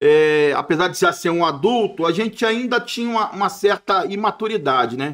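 A man's high-pitched voice at a moderate pace, over a quiet background. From Brasília, Brazil. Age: 50s. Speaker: retired army officer and jiu-jitsu instructor; jiu-jitsu instructor. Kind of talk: casual interview. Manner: halting, repeats words. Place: studio. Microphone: studio mic.

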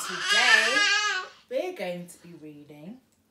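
A woman's very slow speech is heard with noticeable background noise behind it. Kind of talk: children's story read-aloud. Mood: warm, gentle. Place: home room. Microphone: camera far.

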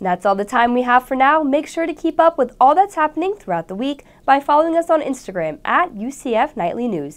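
A woman talks at a fairly quick pace in a high voice, her pitch swinging very widely with hardly any pauses. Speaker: student news anchor. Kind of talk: news reading. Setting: studio. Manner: formal; steady, polished broadcast delivery. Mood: bright, friendly. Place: studio.

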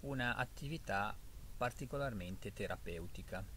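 There is light background noise as a man talks, and the sound is dry with no echo. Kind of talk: casual reflective vlog talk. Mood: calm, thoughtful. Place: forest. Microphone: phone near.

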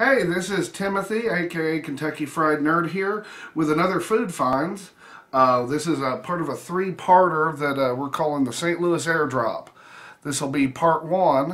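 A man is talking at a moderate pace. His pitch varies in an ordinary way. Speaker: food vlogger. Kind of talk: casual vlog chat. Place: home room. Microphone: phone near.

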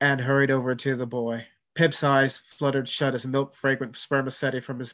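Reading aloud in a natural voice, against a quiet background.

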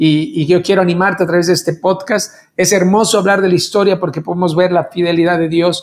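This man talks at a fairly quick pace in a high pitch, his loudness very even throughout. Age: 50s. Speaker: worship leader; pastor, podcast host. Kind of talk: casual chat. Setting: video call. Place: studio.

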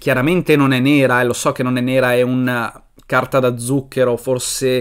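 Faint music in the background behind a man at a moderate pace. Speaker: comic reviewer. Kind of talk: casual vlog chat. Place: home room. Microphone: webcam.

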